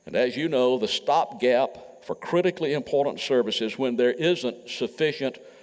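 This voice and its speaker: With a Mississippi accent and vocal fry, this voice moves at a moderate pace. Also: man. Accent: US Southern (Mississippi). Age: 70s. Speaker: retired politician. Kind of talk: speech. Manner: formal.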